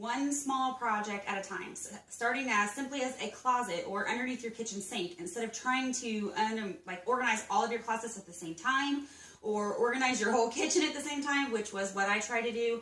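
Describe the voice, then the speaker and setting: Amid noticeable background noise and audible room echo, a woman speaks at a fairly quick pace with hardly any pauses, her fairly high pitch showing ordinary variation. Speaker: home organization vlogger. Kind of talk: casual vlog tutorial. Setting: at home.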